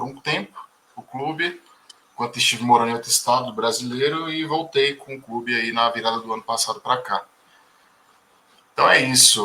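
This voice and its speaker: Here is a man with a normal speaking voice at medium pitch. He uses ordinary pitch variation and moves at a moderate pace. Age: 30s. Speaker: book club organizer. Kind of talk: casual group discussion.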